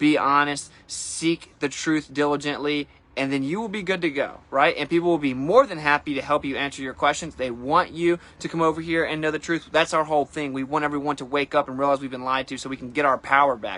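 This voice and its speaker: A man talks in an animated tone at a fairly quick pace. His voice is fairly high in pitch. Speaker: flat earth streamer. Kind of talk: casual livestream monologue. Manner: fast.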